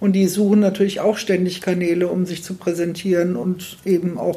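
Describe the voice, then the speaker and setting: A woman's somewhat breathy, fairly low voice with a dark, mellow tone and monotone, flat intonation. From Fulda, Hesse, Germany. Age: 60s. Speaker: school principal. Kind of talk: interview.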